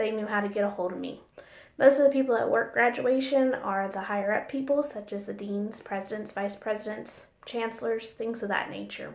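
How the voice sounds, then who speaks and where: Amid noticeable background noise and audible room echo, a woman talks at a fairly quick pace in a fairly high voice with fairly even intonation. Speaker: college business office supervisor. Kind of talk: recorded class assignment monologue. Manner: loud.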